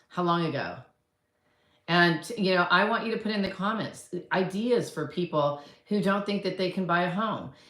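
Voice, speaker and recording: Woman's voice at a medium pitch, with audible room echo. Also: ordinary pitch variation, moderate pace. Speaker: real estate coach and agent. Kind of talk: casual talk to camera. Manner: conversational, rambling with fillers.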